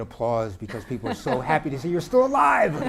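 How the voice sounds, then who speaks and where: A man with an American accent talks at a fairly quick pace. Noticeable background noise is present. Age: 70s. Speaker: public health professor. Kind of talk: panel discussion.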